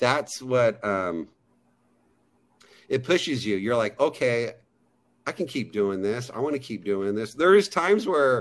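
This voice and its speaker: An animated American man with a medium pitch, very wide pitch swings, a fairly slow pace and long, frequent pauses, on a very clean recording with a silent background. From Pennsylvania, US. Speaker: actor. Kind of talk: interview.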